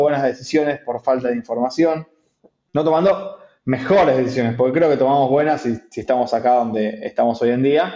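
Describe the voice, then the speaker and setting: Speaking at a fairly quick pace, a man uses a fairly high pitch with an Argentine accent. His intonation is fairly even. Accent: Argentine Spanish (Rioplatense). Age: 30s. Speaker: entrepreneur, company CEO. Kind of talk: interview. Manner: halting, many repetitions.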